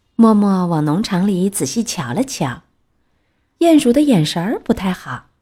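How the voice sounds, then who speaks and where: Fairly slow and somewhat breathy, a woman's medium-pitched voice with a dark, mellow tone moves through very wide pitch swings. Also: very clean recording, silent background. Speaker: children's storyteller. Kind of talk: reading aloud picture book to children. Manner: expressive storytelling voice.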